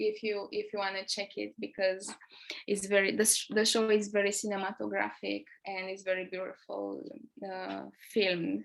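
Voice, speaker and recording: A woman with a Romanian accent speaks at a moderate pace. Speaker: theatre artist. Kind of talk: talk. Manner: halting.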